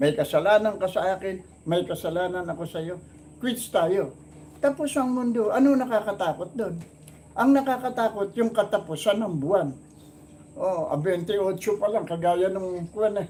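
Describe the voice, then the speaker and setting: A man's high-pitched voice with a dark, mellow tone and lively intonation. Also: moderate pace. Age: 70s. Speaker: comedy channel host. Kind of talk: casual chat.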